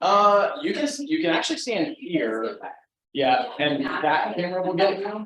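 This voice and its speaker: The voice is loud and fairly slow, with very wide pitch swings and audible room echo. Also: man, high pitch for a man. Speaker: real estate team leader. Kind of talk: business meeting hosting.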